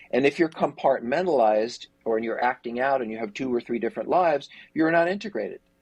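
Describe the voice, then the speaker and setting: Speaking at a very fast pace, a man uses lively intonation. His pitch is fairly high. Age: 60s. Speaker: therapist and treatment center executive. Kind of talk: interview conversation.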